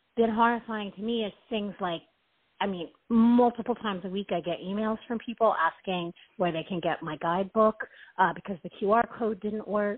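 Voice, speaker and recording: Here is a normal speaking voice at a moderate pace with ordinary pitch variation. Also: woman. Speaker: deck creator caller. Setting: phone call.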